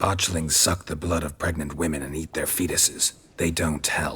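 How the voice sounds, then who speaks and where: A growling, put-on character voice delivered at a moderate pace. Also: man, very deep, low pitch for a man. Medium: video game. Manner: terse, dry.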